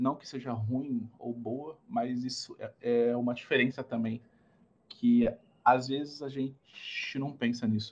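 In a monotone, flat delivery, a man talks at a fairly slow pace with long, frequent pauses. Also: medium pitch for a man, big swings in loudness. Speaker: innovation consultant and startup mentor. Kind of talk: interview.

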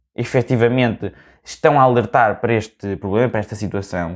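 A man speaks at a fairly quick pace with a European Portuguese accent. The recording is very clean, with a silent background. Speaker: podcast host and university student. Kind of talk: casual solo monologue. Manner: animated.

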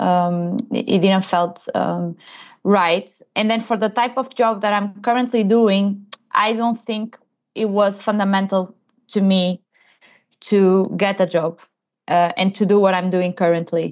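A woman with a Portuguese accent speaks at a medium pitch with very even loudness and fairly even intonation, leaving long, frequent pauses. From Portugal. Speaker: innovation manager. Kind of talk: interview. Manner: halting.

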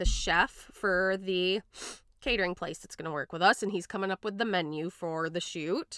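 A woman with a western Michigan accent has a bright, sharp tone. The recording is very clean with a silent background, dry and close with no echo. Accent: western Michigan, Midwestern. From Grand Rapids, Michigan. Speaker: podcast host. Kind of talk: casual chat.

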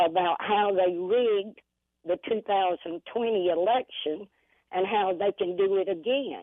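A woman speaks at a fairly slow pace in a plain, everyday voice. Her pitch is medium, with ordinary pitch variation. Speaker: caller. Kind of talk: casual chat. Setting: phone call.

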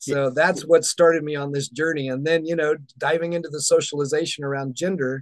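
Fairly even in intonation, a man talks at a very fast pace with an American accent. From US South. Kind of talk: interview conversation.

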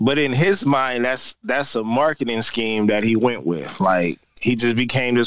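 A man with a normal speaking voice, medium in pitch with ordinary variation, at a moderate pace with hardly any pauses. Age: 30s. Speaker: podcast co-host. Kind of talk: casual chat.

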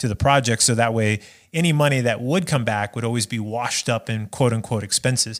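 A man with an American accent talks at a fairly quick pace in an ordinary speaking voice, medium in pitch with ordinary pitch variation, on a very clean recording with a silent background. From Nevada (Las Vegas). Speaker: filmmaker. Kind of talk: casual interview chat.

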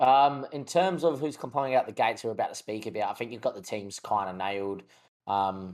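Fairly low-pitched and with an Australian accent, a man speaks with ordinary pitch variation. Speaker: podcast co-host. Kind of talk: casual sports chat.

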